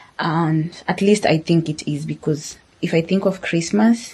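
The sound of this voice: A woman talks at a fairly slow pace, her low voice carrying a slightly mellow tone and a slightly husky edge.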